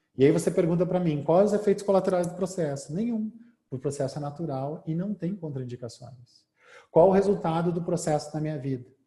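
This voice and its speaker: Here a man talks at a fairly quick pace in a high voice with a dark, mellow tone. His pitch varies in an ordinary way. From southern Brazil, Porto Alegre. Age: 40s. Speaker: hypnotherapist and speaker. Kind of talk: lecture.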